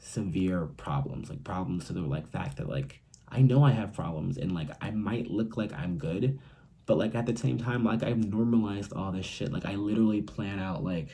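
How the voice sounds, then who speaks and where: Soft-spoken, this man has a fairly low pitch, a dark, mellow tone, vocal fry and lively intonation. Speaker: YouTuber talking about mental health. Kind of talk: casual vlog monologue. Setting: at home, roommate nearby. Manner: quiet, talking softly; fast.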